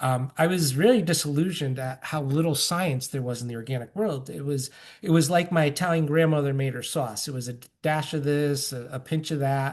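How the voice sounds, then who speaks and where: A man speaks at a fairly high pitch. The background is quiet. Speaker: company co-founder presenting on organic lawn care. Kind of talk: webinar presentation. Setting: online webinar. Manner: fast; many filler ums.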